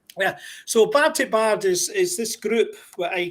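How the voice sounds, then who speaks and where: A man with a Scottish accent talks at a very slow pace with ordinary pitch variation. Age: 60s. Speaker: podcast host. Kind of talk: casual interview.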